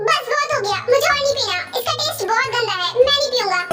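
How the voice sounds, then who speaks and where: A woman puts on a character voice at a fairly quick pace. Music plays in the background. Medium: fan dub. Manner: petulant, stubborn.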